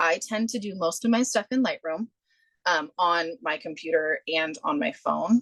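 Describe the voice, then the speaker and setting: A woman speaks in an ordinary speaking voice with a fairly low pitch and lively intonation. Her pace is moderate, and the sound is dry and close with no echo. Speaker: photographer. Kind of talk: presentation. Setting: video call.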